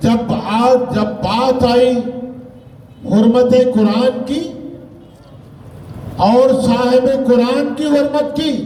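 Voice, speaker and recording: An extremely high-pitched man's voice with fairly even intonation and long, frequent pauses, amid noticeable background noise and audible room echo. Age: 70s. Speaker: religious political leader. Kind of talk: public speech at a rally. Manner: formal oratorical.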